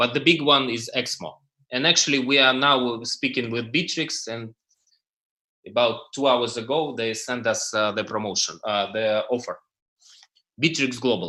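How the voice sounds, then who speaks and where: At a moderate pace and medium pitch, a man talks in a bright, sharp tone with ordinary pitch variation and long, frequent pauses. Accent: non-native. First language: not English. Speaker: crypto startup founder. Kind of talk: panel presentation. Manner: halting, many fillers.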